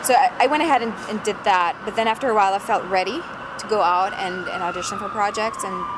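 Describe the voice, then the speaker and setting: A woman talks at a very fast pace with ordinary pitch variation. Noticeable background noise sits behind her. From northern Germany. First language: German. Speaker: actress. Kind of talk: interview. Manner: halting, many fillers.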